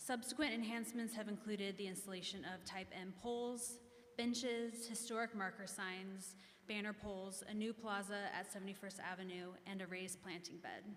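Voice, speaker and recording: Speaking with an American accent at a moderate pace, a woman has a medium pitch and fairly even intonation, with audible room echo and noticeable background noise. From Kansas. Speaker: business district representative. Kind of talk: public meeting presentation. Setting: echoey meeting room. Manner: formal.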